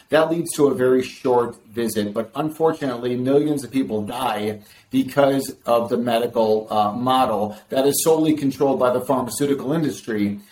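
At a moderate pace, a man speaks in a plain, everyday voice of medium pitch with ordinary pitch variation. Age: 50s. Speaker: cardiologist. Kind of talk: interview.

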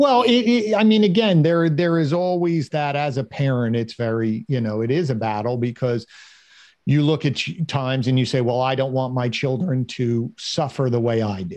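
A plain, everyday voice from a man, medium in pitch, with lively intonation at a moderate pace. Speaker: podcast host. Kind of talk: interview.

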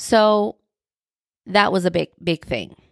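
In a Turkish accent, a woman talks with ordinary pitch variation, the sound dry and close with no echo and the recording very clean over a silent background. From Turkey. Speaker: podcast host. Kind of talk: solo podcast monologue.

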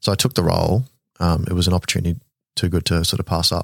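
A very fast-talking man with a very deep, low pitch and an Australian accent, on a very clean recording with a silent background. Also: dry, close sound with no echo. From Queensland, Australia (Ipswich), raised in military postings. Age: 30s. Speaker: air force officer and veteran nonprofit founder. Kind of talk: casual interview chat. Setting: studio.

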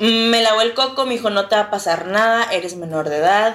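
The voice belongs to a woman speaking at a medium pitch. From northern Mexico, Reynosa, Tamaulipas. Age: 20s. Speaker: former inmate. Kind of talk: testimony.

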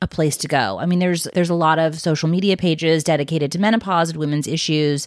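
Recorded very cleanly against a silent background, a woman with an ordinary speaking voice talks at a fairly low pitch with ordinary pitch variation, the sound dry and close with no echo. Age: 50s. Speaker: podcast co-host. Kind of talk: casual chat. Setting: home recording.

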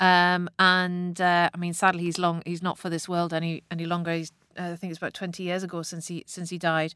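A woman's very fast, fairly low voice with a bright, sharp tone and a Northeast English accent, dry and close with no echo, on a very clean recording with a silent background. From Northeast England. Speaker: sales consultant and author. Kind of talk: interview. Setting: studio.

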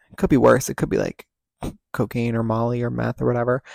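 This man's voice sounds dry and close with no echo, on a very clean recording over a silent background. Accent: American. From New Jersey. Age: 20s. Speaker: podcast host, college student. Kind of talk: casual solo monologue. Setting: home basement studio.

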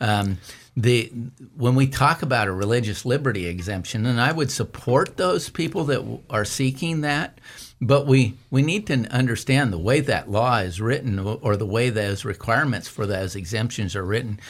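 Here a man has a normal speaking voice at medium pitch, with lively intonation at a moderate pace on a very clean recording with a silent background. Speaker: pastor. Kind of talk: religious discussion show.

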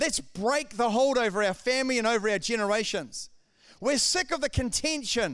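An extremely high-pitched male voice, lively in intonation and fairly quick, on a very clean recording with a silent background. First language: not English (second language). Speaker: pastor. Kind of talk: sermon. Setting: church with congregation.

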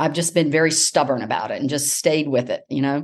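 Over a quiet background, a woman with an American accent speaks at a very deep, low pitch. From US South, South Carolina. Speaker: education professor. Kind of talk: interview.

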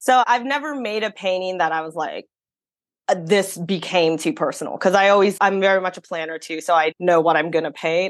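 A woman with a Californian accent speaks at a fairly quick pace and a medium pitch. Her pitch varies in an ordinary way against a quiet background. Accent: Californian American English. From San Francisco, US. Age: 30s. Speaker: painter and illustrator. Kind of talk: interview conversation.

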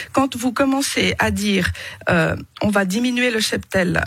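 A woman talks very slowly, captured on a very clean recording against a silent background. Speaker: politician and poultry farmer. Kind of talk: radio interview debate. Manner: hesitant with fillers and repetitions.

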